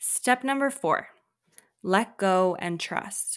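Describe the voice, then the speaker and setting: On a very clean recording with a silent background, a woman speaks very slowly at a medium pitch in a calm, soothing tone. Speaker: podcast host. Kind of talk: guided meditation; motivational solo monologue. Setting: solo podcast recording. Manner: slow, calm, soothing, with pauses, coaxing the listener to repeat affirmations.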